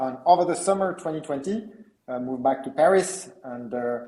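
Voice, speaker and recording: A man with a French accent speaks at a fairly high pitch. His intonation is lively. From France. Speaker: entrepreneur, company co-founder. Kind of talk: interview. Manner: halting, many fillers.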